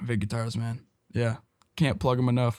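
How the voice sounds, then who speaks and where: In an American accent, a man at medium pitch speaks in a flat monotone, the sound dry and close with no echo on a very clean recording with a silent background. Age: young. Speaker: musician and producer. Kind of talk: casual chat.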